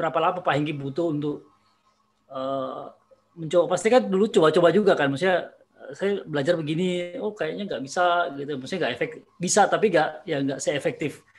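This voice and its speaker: Here a man speaks at a high pitch, with big swings in loudness. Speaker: teacher and podcast host. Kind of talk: casual chat. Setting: video call. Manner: halting, many fillers.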